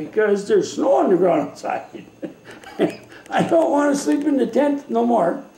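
A man at a moderate pace, with audible room echo and light background noise. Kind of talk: interview answer. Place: kitchen. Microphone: webcam.

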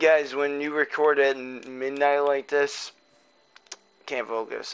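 A man with a fairly high pitch speaks at a moderate pace over noticeable background noise. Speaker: gaming YouTuber. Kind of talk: casual chat. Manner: unenthusiastic.

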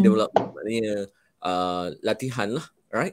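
A man is recorded against a quiet background with a dry sound and no echo. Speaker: college head of department; panelist. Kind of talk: live-stream panel talk. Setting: video call from the college. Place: home room.

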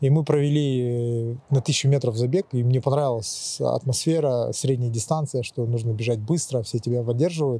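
Here a man has a plain, everyday voice at a medium pitch. He speaks at a moderate pace with fairly even intonation and hardly any pauses. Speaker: race organizer. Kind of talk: interview. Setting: outdoors.

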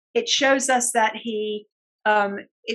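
A woman speaks with a British accent at a fairly high pitch. Her intonation is fairly even, and the background is quiet. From UK. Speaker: speech and language therapist. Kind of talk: interview. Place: home room. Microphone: webcam.

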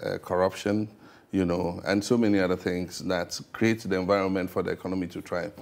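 A man talks at a fairly quick pace in a very deep, low voice. His intonation is monotone and flat. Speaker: interviewee. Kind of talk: interview answer. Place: studio. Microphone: lapel.

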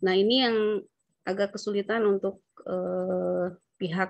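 A woman speaks in a monotone, flat intonation. The background is quiet and the sound is dry with no echo. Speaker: local tax official. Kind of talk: training discussion. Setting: video call. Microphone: video call.

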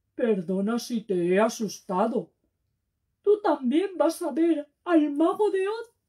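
The pitch leaps and drops over a very wide range. It's a put-on character voice. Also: woman, high pitch for a woman, fairly slow pace. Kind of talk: children's storytelling, comic. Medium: read story. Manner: eager, chatty, blurting.

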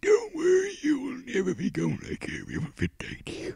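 A man uses a put-on character voice at an extremely high pitch. He delivers it at a moderate pace. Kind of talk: comic overacting, hammy spooky voice. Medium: game stream. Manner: menacing, eerie.

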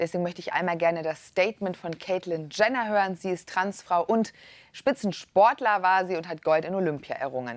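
A woman with an unremarkable speaking voice talks at medium pitch with ordinary pitch variation, in a dry sound with no echo. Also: fairly quick pace. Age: young. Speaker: talk show host. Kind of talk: moderated TV debate. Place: studio. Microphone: lapel.

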